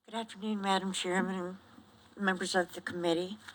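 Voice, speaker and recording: Speaking at a fairly quick pace, a woman uses a normal speaking voice at medium pitch. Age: 60s. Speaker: retired nurse and veteran testifying. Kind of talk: formal testimony.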